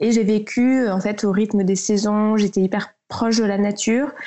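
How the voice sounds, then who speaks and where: The woman's voice sits fairly high, and she takes a fairly slow pace. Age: 20s. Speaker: eco-lifestyle blogger. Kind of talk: casual interview chat. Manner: hesitant, frequent fillers.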